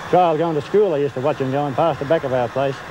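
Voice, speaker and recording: A man talking at a very fast pace, dry with no echo, amid noticeable background noise. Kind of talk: interview answer.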